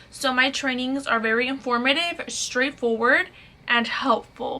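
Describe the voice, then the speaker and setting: With an American accent, the speaker keeps fairly even intonation at a moderate pace over noticeable background noise. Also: woman. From Fort Worth, Texas. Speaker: lash artist and trainer. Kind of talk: casual talk to camera.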